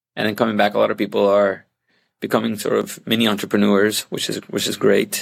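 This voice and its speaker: A man talks with a Puerto Rican accent. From Puerto Rico. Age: 40s. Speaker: hotel operations director. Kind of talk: interview. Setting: video call.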